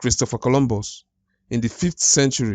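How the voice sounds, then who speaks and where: A man talks at a moderate pace with an African accent. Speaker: YouTube commentator. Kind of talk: reaction commentary. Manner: halting, with false starts.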